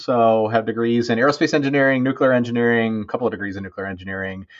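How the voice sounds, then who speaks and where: Using an unremarkable speaking voice, the man holds a medium pitch and shows ordinary pitch variation. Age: 40s. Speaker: engineer. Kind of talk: casual chat.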